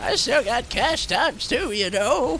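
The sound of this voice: Using a put-on character voice, a man speaks at an extremely high pitch and a moderate pace over clear background noise.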